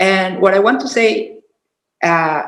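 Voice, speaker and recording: Speaking fairly slowly in a Spanish accent, a woman uses ordinary pitch variation amid audible room echo. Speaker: sex worker rights activist. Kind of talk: panel talk. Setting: video call. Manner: halting.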